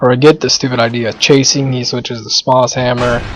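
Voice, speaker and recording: Noticeable background noise accompanies a man who speaks at a medium pitch and a fairly quick pace. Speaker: gamer doing commentary. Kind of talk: gameplay commentary. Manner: casual.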